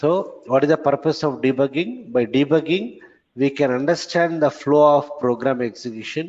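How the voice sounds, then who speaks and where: The speaker has an unremarkable speaking voice with ordinary pitch variation at a moderate pace. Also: man, fairly high pitch for a man. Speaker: programming trainer. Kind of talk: lecture. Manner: repetitive.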